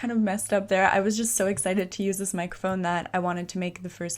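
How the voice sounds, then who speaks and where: Speech at a very fast pace with monotone, flat intonation comes through on a very clean recording with a silent background. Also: woman. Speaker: YouTuber and model. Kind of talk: casual chat. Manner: normal speaking voice, not soft-spoken. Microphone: USB condenser desktop mic, new.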